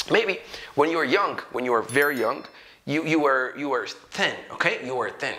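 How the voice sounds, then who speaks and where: Amid noticeable background noise and audible room echo, a man speaks with ordinary pitch variation. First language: Amharic. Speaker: English teacher. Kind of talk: tutorial. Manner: conversational, checks in with 'okay?' and 'right?'.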